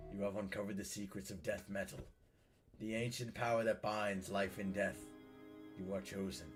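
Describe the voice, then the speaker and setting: In a put-on character voice with hissing, the speaker goes at a fairly quick pace broken by long, frequent pauses, with clear music in the background. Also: man, fairly low pitch for a man. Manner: haunting, hissing.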